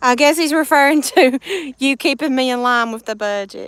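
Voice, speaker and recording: In a Southern US accent, a woman speaks with a high pitch. Her pace is moderate and her pitch varies in an ordinary way. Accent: US South. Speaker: live streamer. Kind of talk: casual chat. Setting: live stream.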